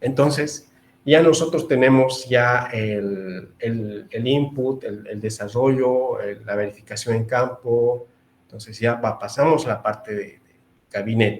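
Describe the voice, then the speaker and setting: Here is a man with an ordinary speaking voice at medium pitch. He goes at a fairly slow pace, with big swings in loudness. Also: ordinary pitch variation. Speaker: engineer giving webinar lecture. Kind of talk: online lecture. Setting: webinar.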